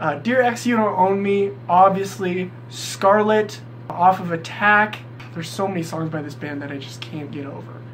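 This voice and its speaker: Audible room echo and noticeable background noise surround a man speaking at a moderate pace. His high voice swings very widely in pitch. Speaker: music YouTuber. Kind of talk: casual countdown vlog. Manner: animated.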